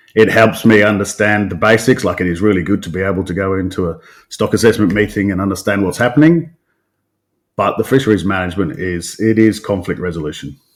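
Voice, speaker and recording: On a very clean recording with a silent background, a man speaks at a very fast pace with a fairly low pitch and ordinary pitch variation. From English Midlands, Coventry. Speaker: fisheries scientist. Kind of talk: podcast interview.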